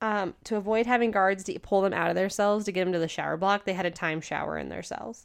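A woman at medium pitch and a very fast pace. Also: hardly any pauses. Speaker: true crime podcast co-host. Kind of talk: casual chat, storytelling a crime case. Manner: loud.

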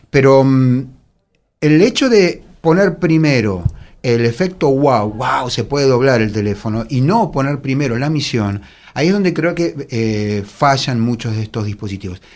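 A normal speaking voice with lively intonation at a fairly slow pace, on a very clean recording with a silent background. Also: man, medium pitch for a man. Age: 50s. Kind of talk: casual chat.

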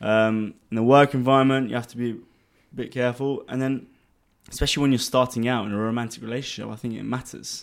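A man with a London accent talks at a very fast pace in a medium pitch. His intonation is monotone and flat, with big swings in loudness. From England (London). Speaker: finance executive. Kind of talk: casual chat.

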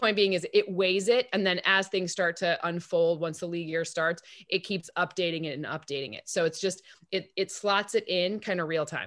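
In an ordinary speaking voice, a woman with fairly low pitch talks at a moderate pace and with fairly even intonation. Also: very clean recording, silent background. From Michigan, East Lansing. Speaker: football analytics expert. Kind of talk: casual interview.

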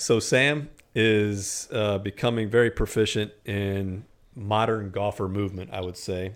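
In a very clean recording with a silent background, a man speaks in a plain, everyday voice. His pitch is fairly low, his intonation fairly even, and his pace fairly slow. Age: 40s. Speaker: golf podcast host. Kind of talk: casual chat.

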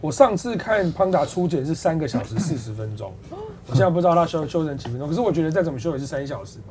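Over noticeable background noise, a man with a Taiwanese accent talks at a very fast pace in a fairly high pitch, with very wide pitch swings and an animated tone. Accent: Taiwanese Mandarin. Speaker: livestream host. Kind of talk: casual chat.

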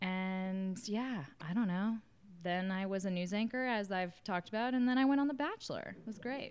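A woman with an American accent talks at a moderate pace in an ordinary speaking voice, medium in pitch with ordinary pitch variation. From US South. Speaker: podcast host, former reality TV contestant. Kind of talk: casual interview.

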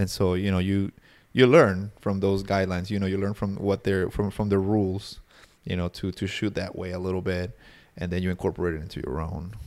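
Heard on a very clean recording with a silent background, a man with a Spanish accent speaks fairly quickly in a very deep, low pitch with fairly even intonation. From Peru. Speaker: wedding videographer. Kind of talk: casual chat. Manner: halting.

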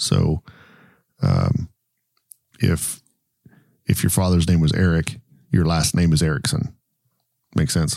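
A man speaks at a fairly slow pace in a very deep, low voice with a dark, mellow tone and ordinary pitch variation. His loudness stays very even, broken by long, frequent pauses. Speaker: podcast host and painter. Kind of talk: casual chat. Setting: studio. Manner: halting.

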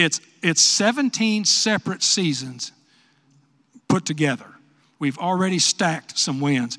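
In a West Texas accent, a man speaks at a moderate pace with a high pitch and a bright, sharp tone. The recording is very clean with a silent background and a dry, close sound with no echo. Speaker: retired football coach and commentator. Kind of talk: speech at luncheon Q&A.

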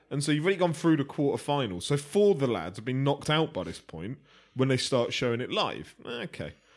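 A man with a southern England accent and fairly high pitch speaks with lively intonation in a very clean recording with a silent background. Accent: British English, southern England. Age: 30s. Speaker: boxing pundit. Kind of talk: casual chat.

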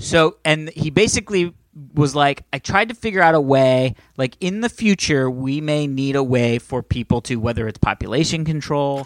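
A man with a plain, everyday voice, fairly high-pitched, at a moderate pace with lively intonation, in a dry, close sound with no echo. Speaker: podcast host. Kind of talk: casual banter podcast. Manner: joking, bantering.

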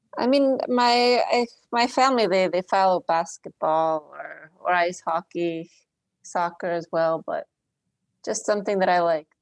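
This is a plain, everyday voice from a woman at medium pitch, with lively intonation. She talks at a fairly slow pace, and the sound is dry and close with no echo. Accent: American. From Philadelphia suburbs, Pennsylvania. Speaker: refugee aid worker. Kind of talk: casual interview. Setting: remote call.

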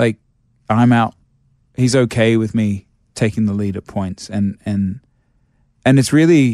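Medium-pitched male voice in an Australian accent, dark and mellow in tone with ordinary pitch variation, dry and close with no echo, on a very clean recording with a silent background. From Australia (Sydney, Brisbane). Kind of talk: casual interview chat.

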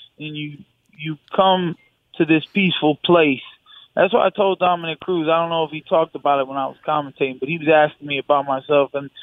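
A man with an American accent speaks fairly quickly with fairly even intonation. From Michigan, US. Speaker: UFC fighter. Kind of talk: interview. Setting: phone call.

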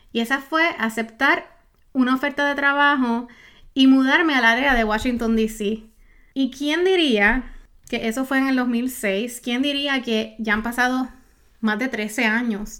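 On a very clean recording with a silent background, a woman with a high pitch and a bright, sharp, animated tone speaks at a fairly slow pace with ordinary pitch variation. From Puerto Rico. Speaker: podcast host, online business coach. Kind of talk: solo podcast monologue.

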